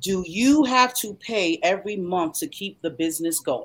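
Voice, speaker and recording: A woman speaks with a Southern US accent at a fairly slow pace. Her pitch swings very widely. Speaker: show host. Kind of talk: casual promotional chat.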